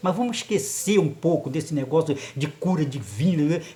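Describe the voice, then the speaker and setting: With audible room echo, a man talks at a moderate pace in a fairly high voice. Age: 70s. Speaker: lay preacher. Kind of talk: sermon. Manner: animated.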